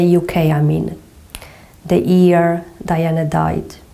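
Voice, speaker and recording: A woman with a Portuguese accent speaks at a fairly slow pace in a fairly low, dark, mellow voice. Her intonation is monotone and flat, and the room echo is audible. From Portugal. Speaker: movement and yoga teacher. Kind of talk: guided exercise instruction. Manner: slow, gentle.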